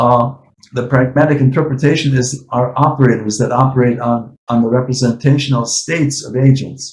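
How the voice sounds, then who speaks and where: A somewhat breathy male voice with monotone, flat intonation. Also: medium pitch for a man. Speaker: AI professor and researcher. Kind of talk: academic discussion. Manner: fast.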